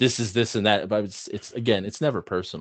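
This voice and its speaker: With an excited tone, a man talks at a moderate pace with ordinary pitch variation. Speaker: podcast co-host. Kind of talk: casual chat. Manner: loud, gets excited.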